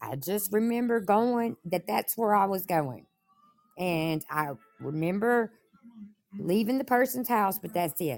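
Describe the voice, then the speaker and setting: A woman at a medium pitch with lively intonation, a fairly slow pace, and long, frequent pauses. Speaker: caller. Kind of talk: casual live chat, personal story.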